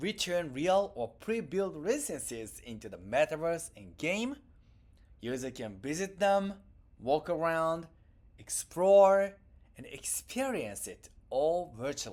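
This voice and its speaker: Delivered at a fairly slow pace with a Japanese accent, the recording is very clean with a silent background. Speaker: tech company founder. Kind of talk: keynote presentation.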